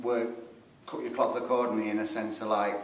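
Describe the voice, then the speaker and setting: With a Sheffield accent, a man talks at a medium pitch with ordinary pitch variation, amid noticeable background noise and audible room echo. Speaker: rockabilly band singer. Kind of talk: band interview.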